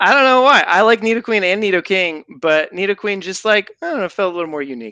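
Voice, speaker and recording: A man with an American accent, high-pitched with a bright, sharp tone, speaking very fast in a raised, projected voice with lively intonation, dry and close with no echo against a quiet background. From France and Belgium (American-born). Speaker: gaming podcast co-host. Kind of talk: casual chat. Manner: animated storytelling.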